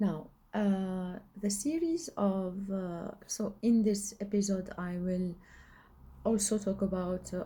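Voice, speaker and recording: Very slow and somewhat breathy, a woman speaks at medium pitch. Her tone is dark and mellow. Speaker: spiritual coach and video blogger. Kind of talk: casual monologue. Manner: halting, many fillers. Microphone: recording without the microphone.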